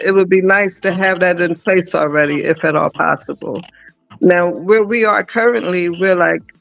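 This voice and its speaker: With music in the background, a high-pitched man speaks at a moderate pace with fairly even intonation. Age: 60s. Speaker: expat living in Africa. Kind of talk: casual chat.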